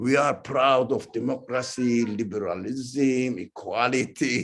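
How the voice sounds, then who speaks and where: A man speaks at a very slow pace. He has a strong non-native accent. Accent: heavy foreign accent, often taken for Iranian. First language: not English. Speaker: religious teacher. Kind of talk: lecture. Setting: talk to a live audience, also streamed. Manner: halting.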